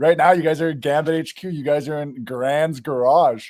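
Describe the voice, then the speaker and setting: An unremarkable speaking voice from a man with a Canadian accent, fairly high in pitch, with fairly even intonation. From Canada. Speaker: grow equipment seller. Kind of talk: casual chat. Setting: garage workshop.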